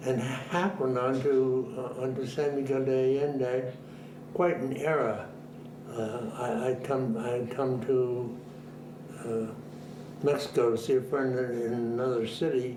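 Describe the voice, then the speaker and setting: In an American accent, the speaker talks at a fairly slow pace with fairly even intonation and long, frequent pauses, amid audible room echo and noticeable background noise. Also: man, medium pitch for a man. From Boston, US New England. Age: 90s. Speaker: retired minister. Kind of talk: interview, life story. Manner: halting, with repetitions.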